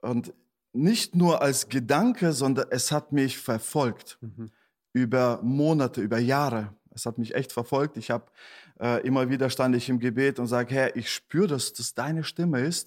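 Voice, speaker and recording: A man with an unremarkable speaking voice talks at a moderate pace, medium in pitch and with ordinary pitch variation, on a very clean recording against a silent background. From Germany, Detmold (East Westphalia, NRW). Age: 40s. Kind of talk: casual interview.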